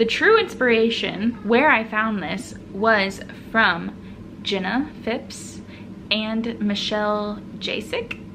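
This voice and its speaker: A woman with a fairly high voice talks amid noticeable background noise and audible room echo. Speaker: knitting and crochet podcaster. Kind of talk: casual solo vlog talk.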